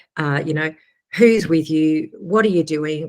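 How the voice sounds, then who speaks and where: Speaking at a moderate pace with an Australian accent, a woman uses ordinary pitch variation. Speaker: agricultural education staff presenter. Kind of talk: webinar presentation. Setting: live webinar.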